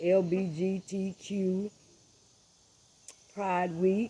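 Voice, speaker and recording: This is a woman with an American accent. Her pitch sits fairly low. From Florida, US South. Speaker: online show host. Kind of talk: opinion monologue. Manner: animated.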